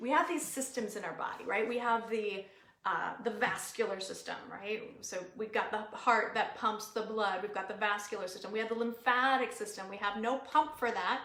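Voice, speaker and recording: Her voice sits fairly high for a woman, with ordinary pitch variation and an animated tone. She keeps a moderate pace with hardly any pauses, and the room echo is audible. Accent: American. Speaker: natural wellness educator. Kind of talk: live webinar talk.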